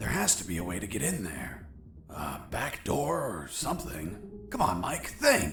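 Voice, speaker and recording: Over clear background noise, a man puts on a character voice and talks at a moderate pace. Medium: game stream. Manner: terse, profane.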